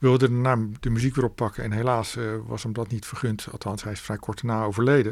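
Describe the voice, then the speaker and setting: Over a silent background on a very clean recording, a man speaks at a fairly quick pace in a medium pitch with monotone, flat intonation. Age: 50s. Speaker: author and record collector. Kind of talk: radio interview. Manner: halting, frequent repetitions.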